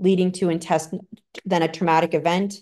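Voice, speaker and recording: A woman with an American accent speaks in a monotone, flat intonation at a fairly low pitch. The background is quiet. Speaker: clinical researcher, psychologist. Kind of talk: lecture.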